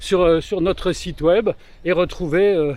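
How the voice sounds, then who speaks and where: A man with a high pitch speaks at a moderate pace amid noticeable background noise. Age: 60s. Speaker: business association member, interviewer. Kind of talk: interview. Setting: outdoors.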